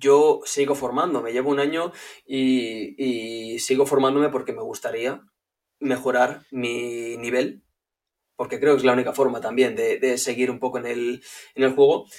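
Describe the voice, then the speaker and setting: The man's voice sits at a medium pitch. He talks at a moderate pace. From Spain, Barcelona. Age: 30s. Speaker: visual communication creator. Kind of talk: casual interview chat. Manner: halting, repeats words.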